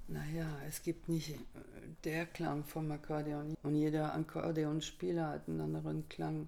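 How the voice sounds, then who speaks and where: A woman speaks with a French accent. Her pace is fairly slow. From France. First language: French (speaking German). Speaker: accordionist. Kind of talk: interview.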